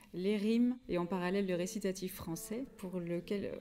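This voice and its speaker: With a dark, mellow tone, a woman talks at a medium pitch and with fairly even intonation. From France. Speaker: singer. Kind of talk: interview.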